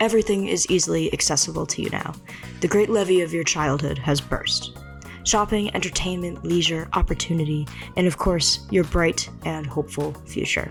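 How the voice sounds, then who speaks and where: A woman keeps a medium tempo while music plays behind her. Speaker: video essayist. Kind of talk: video essay narration. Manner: wistful, evocative.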